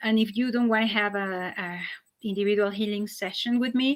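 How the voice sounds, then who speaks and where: A woman with a Spanish accent talks at a fairly quick pace and medium pitch, her intonation monotone and flat. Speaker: holistic healing practitioner. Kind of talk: live stream talk. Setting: online live stream. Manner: halting, many fillers.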